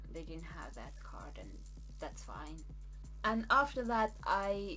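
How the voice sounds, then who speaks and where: Someone with a Norwegian accent speaks at a fairly slow pace, with big swings in loudness. Music plays in the background, and there is audible room echo. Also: woman. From Norway. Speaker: vlogger. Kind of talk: casual storytelling.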